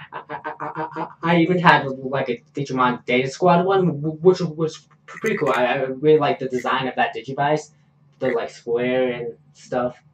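Noticeable background noise runs behind a man's voice. His pitch is fairly high, with ordinary variation. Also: moderate pace. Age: 20s. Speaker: podcast host. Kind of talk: casual chat.

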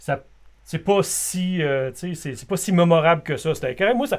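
On a very clean recording with a silent background, a man speaks with a Quebec accent. His voice is fairly high, with ordinary pitch variation. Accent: Québécois French. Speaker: podcast co-host. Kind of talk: casual chat.

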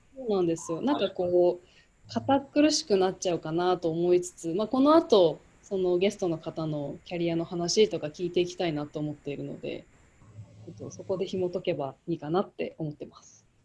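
A woman's fairly low, dark and mellow voice with lively intonation and big swings in loudness, against a quiet background. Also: moderate pace. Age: 30s. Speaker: podcast co-host. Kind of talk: casual chat.

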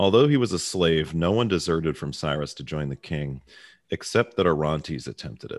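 This voice has an American accent, vocal fry and lively intonation. Its loudness swings widely against a quiet background. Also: man, very deep, low pitch for a man. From Baltimore, US. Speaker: podcast host. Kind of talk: casual discussion podcast. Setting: remote recording, hosts in different cities. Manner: joking, casual.

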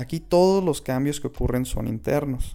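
The man speaks with a northern Mexican accent and a dark, mellow tone. His pace is moderate, with ordinary pitch variation. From Mexico, Chihuahua. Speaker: podcast host. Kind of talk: spiritual monologue.

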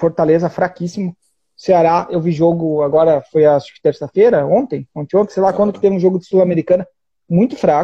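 This man talks at a fairly quick pace in a southern Brazilian accent. His pitch is high, with ordinary variation. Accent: southern Brazilian (gaúcho) Portuguese. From Brazil, Rio Grande do Sul. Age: 20s. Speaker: football fan livestream host. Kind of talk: casual chat. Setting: live video stream from home.

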